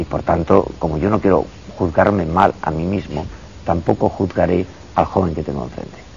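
Noticeable background noise under a man's very deep, low voice, moderately paced and with ordinary pitch variation. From Andalusia, Spain (Cazorla, Jaén). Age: 50s. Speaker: psychiatrist and professor. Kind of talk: interview.

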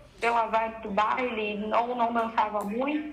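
A woman speaks at a fairly high pitch with fairly even intonation. Audible room echo and noticeable background noise are present. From Brazil, Paraná (Jacarezinho). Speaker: ballroom dance teacher and DJ. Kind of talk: casual chat.

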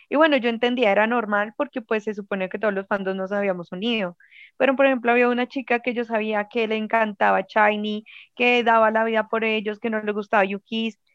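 A woman talks at a fairly quick pace in a plain, everyday voice, her pitch fairly high and her intonation fairly even. The sound is dry and close with no echo, over a quiet background. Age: 20s. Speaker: fan club leader. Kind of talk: casual interview.

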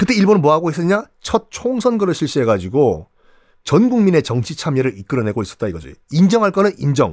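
This man talks at a fairly quick pace and a fairly high pitch, with very wide pitch swings. The recording is very clean, with a silent background. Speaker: history storyteller podcast host. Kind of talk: history storytelling monologue. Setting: radio broadcast. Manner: animated.

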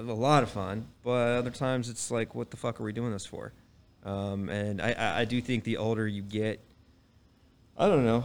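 A man with an American accent and an unremarkable speaking voice, fairly low in pitch, at a moderate pace with ordinary pitch variation. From Texas, Dallas. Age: 30s. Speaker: real estate professional. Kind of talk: casual chat. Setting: live audience.

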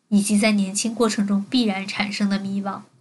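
Her pitch sits in the medium range and her pace is moderate. This woman's intonation is flat and monotone. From Beijing and Jiangsu. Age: 20s. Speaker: podcaster. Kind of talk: personal monologue.

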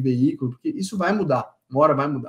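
At a fairly quick pace, a man speaks in an ordinary speaking voice pitched fairly high. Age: 40s. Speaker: solutions engineer in logistics. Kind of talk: casual interview.

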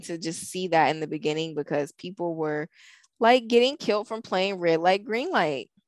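A woman's normal speaking voice at medium pitch, lively in intonation and moderate in pace, with a dry, close sound with no echo on a very clean recording against a silent background. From northern US. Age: 30s. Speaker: podcast co-host. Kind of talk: casual chat.

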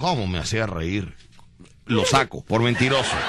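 Audible room echo and noticeable background noise surround a man speaking at a moderate pace. His tone is animated. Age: 40s. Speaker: radio host. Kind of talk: comedy radio show.

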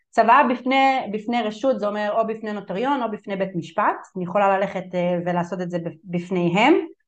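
A woman speaks at a fairly quick pace with a medium pitch and ordinary pitch variation. Room echo is audible. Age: 30s. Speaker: family law attorney. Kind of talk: webinar lecture. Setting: online webinar.

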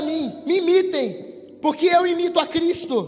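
A man talks at a fairly slow pace in an animated tone with an extremely high pitch, while noticeable background noise and audible room echo surround him. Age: 20s. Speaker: preacher. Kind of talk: sermon.

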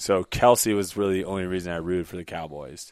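Here a man with a very deep, low pitch speaks in an American accent. The recording is very clean, with a silent background. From US South, Jacksonville, Florida. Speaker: professional ultimate frisbee player. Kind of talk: casual interview chat.

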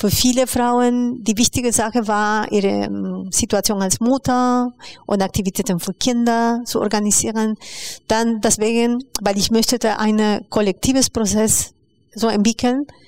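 In a Spanish accent, a woman speaks with a fairly high pitch, monotone, flat intonation and very even loudness, in a dry, close sound with no echo on a very clean recording with a silent background. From Peru, Lima. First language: Spanish (speaking German). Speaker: educator and migrant rights activist. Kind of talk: interview. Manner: hesitant, many fillers.

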